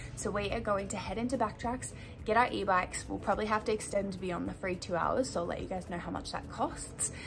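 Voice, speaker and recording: Faint music plays in the background as a woman speaks. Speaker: travel vlogger. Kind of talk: casual vlog chat. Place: home room. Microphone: phone near.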